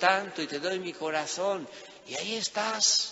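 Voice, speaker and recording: A man with a Spanish accent speaks with ordinary pitch variation over noticeable background noise. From Spain. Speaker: priest. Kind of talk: sermon.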